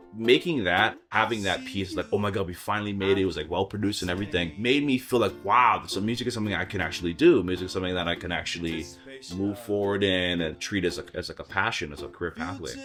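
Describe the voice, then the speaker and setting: Music plays in the background as a man talks at a very fast pace. His voice is fairly low-pitched, with ordinary pitch variation. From Hawaii. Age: 20s. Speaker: singer-songwriter. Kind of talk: documentary interview.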